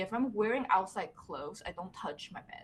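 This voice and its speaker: A woman speaks with a Mandarin accent in a bright, sharp tone and fairly high pitch. Her intonation is lively and her pace fairly quick. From Taiwan, Taipei. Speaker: character designer. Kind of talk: casual interview chat.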